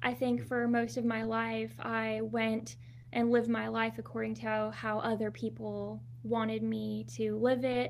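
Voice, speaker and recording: A woman with an American accent at a fairly slow pace, with audible room echo. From Southern California. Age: 20s. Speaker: holistic nutritionist and wellness coach. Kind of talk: interview.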